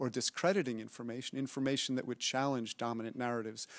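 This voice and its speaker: The recording is very clean and dry, close with no echo and a silent background. A man speaks in an American accent at medium pitch. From United States. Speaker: academic panelist. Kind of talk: panel discussion. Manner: hesitant fillers.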